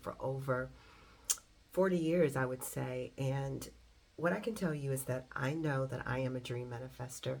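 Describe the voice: A woman talks at a moderate pace, her pitch extremely low.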